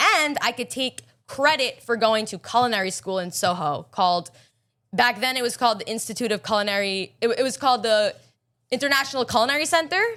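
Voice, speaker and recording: With a strong Long Island accent, a woman talks at a fairly quick pace in a bright, sharp tone with a fairly high pitch. Her delivery is animated, and her pitch swings very widely. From Long Island, New York. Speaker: pastry chef and baker. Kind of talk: podcast interview.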